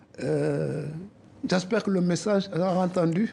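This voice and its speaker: A man with a West African accent, a high pitch, ordinary pitch variation and a fairly slow pace. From West Africa, Soninke community. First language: Soninke (speaking French). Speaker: association president. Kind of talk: TV interview.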